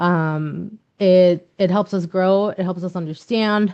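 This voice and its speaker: A woman with a Spanish accent speaks very slowly at a medium pitch, her tone dark and mellow and her intonation fairly even, against a quiet background. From Mexico. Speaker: nonprofit leader. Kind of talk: workshop presentation. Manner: frequent repetitions and fillers.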